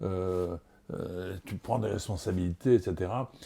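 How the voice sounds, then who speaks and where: Very slow and very deep, a man speaks with a dark, mellow tone in a Marseille accent. The recording is very clean with a silent background. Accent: southern French (Marseille). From Marseille, France. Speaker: TV and radio host. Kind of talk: interview answer.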